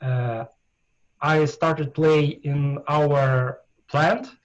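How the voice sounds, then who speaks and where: A man with a Russian accent speaks in a somewhat breathy, fairly high voice, his intonation fairly even. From Russia, Ural region. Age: 40s. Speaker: darts player. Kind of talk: interview. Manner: halting, many hesitations.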